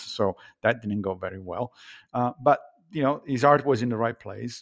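A man with an Italian accent at medium pitch and a fairly quick pace, ordinary pitch variation, a dry, close sound with no echo and a quiet background. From Italy (Rome). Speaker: philosophy professor. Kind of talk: interview. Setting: remote call.

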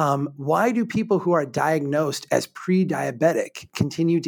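A man with an American accent speaks at a moderate pace in a fairly high pitch, using an ordinary speaking voice with ordinary pitch variation. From Minnesota, small town. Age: 40s. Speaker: urban planner and author. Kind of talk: casual chat.

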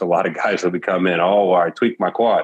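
An ordinary speaking voice with an American accent, at a moderate pace. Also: man. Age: 30s. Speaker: gym owner and former athlete. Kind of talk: interview.

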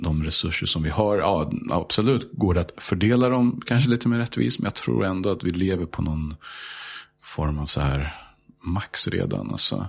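This man's voice is very deep and low, moving at a moderate speed with lively intonation. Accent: English. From Sweden, Stockholm. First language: English (speaking Swedish). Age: 30s. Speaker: high school teacher. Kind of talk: casual chat.

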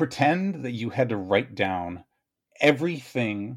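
On a very clean recording with a silent background, a man at medium pitch speaks with very wide pitch swings. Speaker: writer and video creator. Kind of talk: casual chat. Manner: fast.

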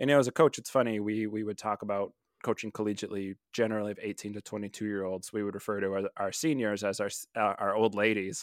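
On a very clean recording with a silent background and a dry, close sound with no echo, a man speaks very fast at a fairly low pitch, with fairly even intonation and hardly any pauses. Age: 30s. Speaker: marriage and family therapist. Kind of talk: casual chat.

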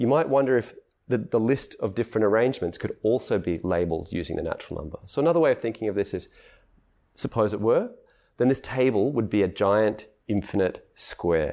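This man talks at a fairly quick pace with lively intonation and an Australian accent. His medium-pitched voice has a dark, mellow tone over a quiet background. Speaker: philosopher of mathematics. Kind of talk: interview conversation. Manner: halting, many restarts.

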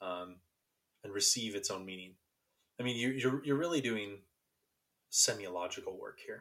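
A man with an American accent at a moderate pace, broken by long, frequent pauses. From Sacramento, California. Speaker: podcast co-host, philosophy graduate student. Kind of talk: casual chat.

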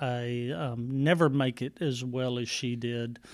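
A man with a Texan accent talks at a medium pitch. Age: 50s. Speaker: county judge. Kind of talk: casual interview. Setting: courtroom.

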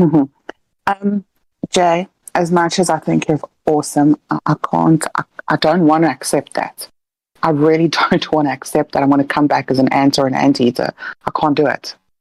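A woman speaks at a moderate pace with a very deep, low pitch, very even loudness and fairly even intonation, pausing long and often. The sound is dry and close with no echo. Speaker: caller and healer. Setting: Discord call.

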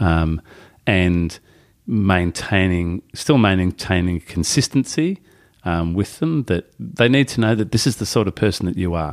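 In an Australian accent, a man speaks at a fairly slow pace with a very deep, low pitch and lively intonation, in a very clean recording with a silent background and a dry, close sound with no echo. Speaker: novelist and former teacher. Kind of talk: casual interview. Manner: halting.

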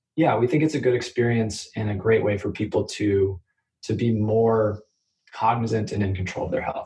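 With an American accent, a man speaks in a somewhat breathy voice, fairly low in pitch, with fairly even intonation. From US Midwest, Kansas City. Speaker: startup lawyer. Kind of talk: interview.

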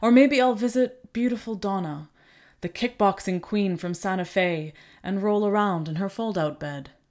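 In an unremarkable speaking voice, a woman of medium pitch speaks at a moderate pace with ordinary pitch variation on a very clean recording with a silent background. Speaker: poetry reader. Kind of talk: poem reading aloud. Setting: home recording setup.

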